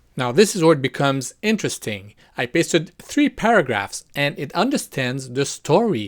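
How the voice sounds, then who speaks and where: A man with a non-native accent in a very clean recording over a silent background. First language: not English. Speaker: VFX artist and video creator. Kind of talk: tutorial. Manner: casual, conversational.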